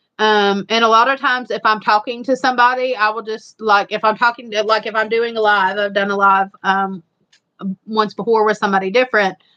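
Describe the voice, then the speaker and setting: A woman speaks at a fairly quick pace with a fairly high pitch, a bright, sharp tone and monotone, flat intonation. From Eastern Kentucky, Appalachia. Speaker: homestead channel live streamer. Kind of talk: casual chat on a live stream. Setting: live stream with a co-host.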